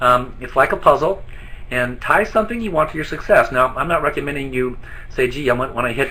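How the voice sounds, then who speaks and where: A man with a fairly high pitch speaks at a fairly quick pace over noticeable background noise. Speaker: network marketing distributor trainer. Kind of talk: training presentation. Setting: online webinar from an office. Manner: fast.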